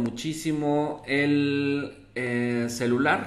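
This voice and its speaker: A man talks in a flat monotone, with audible echo from the room. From Mexico City. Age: 50s. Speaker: local news presenter; local news host. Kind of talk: live news commentary and reading viewer comments. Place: home room.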